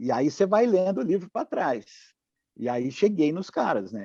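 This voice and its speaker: Against a quiet background, a man speaks with lively intonation in a dry, close sound with no echo. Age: 60s. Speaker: rock musician. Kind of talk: casual interview.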